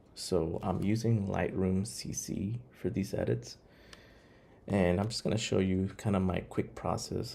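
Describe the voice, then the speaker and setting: A man's dark, mellow tone, fairly low in pitch with vocal fry, lively intonation and a moderate pace. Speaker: photographer. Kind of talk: tutorial. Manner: soft-spoken.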